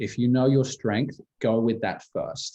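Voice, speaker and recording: In a British accent, the speaker has a dark, mellow tone and keeps a moderate pace. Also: man. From England. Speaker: musical theatre actor. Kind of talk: Q&A answers.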